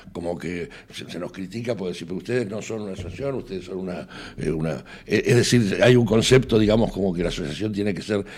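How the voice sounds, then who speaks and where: At a very fast pace, a man speaks with a very deep, low pitch, ordinary pitch variation and a dark, mellow tone. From Argentina. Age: 60s. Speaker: association secretary. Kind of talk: radio interview.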